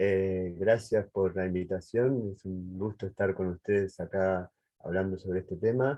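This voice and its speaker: A man with a very deep, low voice speaks fairly slowly, his intonation fairly even. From Uruguay. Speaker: cybersecurity engineer. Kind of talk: panel introduction.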